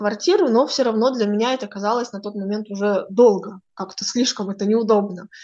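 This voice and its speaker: Woman with a normal speaking voice, a moderate pace and ordinary pitch variation. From northern Kazakhstan. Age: 20s. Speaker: astrologer. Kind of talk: interview.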